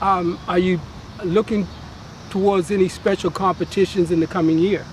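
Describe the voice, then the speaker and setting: Over noticeable background noise, a man with a high pitch speaks in a flat monotone at a moderate pace and very even loudness. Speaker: sports show host. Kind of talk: interview questions.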